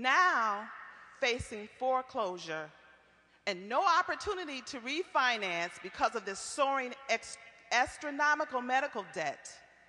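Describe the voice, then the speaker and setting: A woman's high voice with an American accent, very wide pitch swings, a fairly slow pace and noticeable background noise. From Iowa, Waterloo. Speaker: community organizer. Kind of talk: prepared testimony at a public forum. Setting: public forum with audience.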